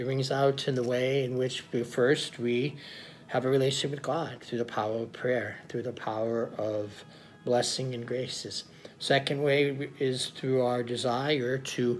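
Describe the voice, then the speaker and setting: Faint music plays behind a man with an American accent. He speaks at a fairly slow pace with fairly even intonation. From United States (Oklahoma). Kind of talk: Sunday homily / sermon. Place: home room. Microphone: phone near.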